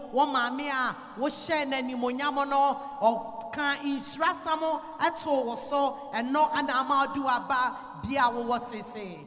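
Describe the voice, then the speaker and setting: A woman speaks with a high pitch at a fairly slow pace. Noticeable background noise runs underneath. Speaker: interpreter. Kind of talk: sermon interpretation. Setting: church with congregation.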